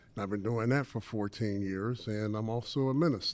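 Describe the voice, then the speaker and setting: On a very clean recording with a silent background, a man speaks in a plain, everyday voice. His pitch is medium, with ordinary variation, at a moderate pace. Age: 60s. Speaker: retired banker and business speaker. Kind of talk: conference talk. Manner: casual and conversational.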